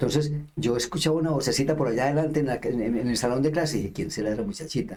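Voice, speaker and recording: A man speaks very fast at a fairly high pitch. His tone is dark and mellow, and somewhat breathy. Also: ordinary pitch variation. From Colombia, Antioquia. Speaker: lay missionary. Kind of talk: interview testimony. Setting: radio interview.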